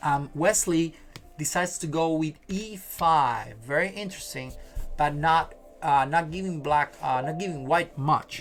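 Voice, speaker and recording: Music plays in the background as a man with a fairly high pitch speaks at a fairly slow pace with ordinary pitch variation. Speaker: chess streamer. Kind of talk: live stream chess commentary. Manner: hesitant, many fillers.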